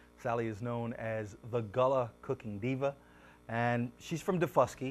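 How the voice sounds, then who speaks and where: A man talks at a moderate pace and medium pitch with ordinary pitch variation. He has an ordinary speaking voice. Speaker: TV talk show host. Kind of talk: TV show introduction.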